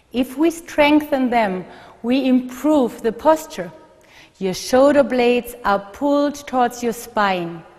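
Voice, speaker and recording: A woman at a very slow pace, high pitched for a woman, in a German accent, with noticeable background noise. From Germany. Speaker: physical therapist. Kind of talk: instructional video.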